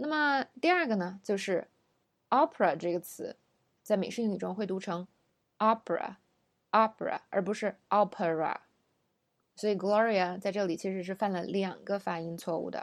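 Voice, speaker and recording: Recorded very cleanly against a silent background, a woman speaks in a plain, everyday voice. Her pitch is medium with ordinary variation, and her pace is moderate. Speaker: English pronunciation teacher. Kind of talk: lesson.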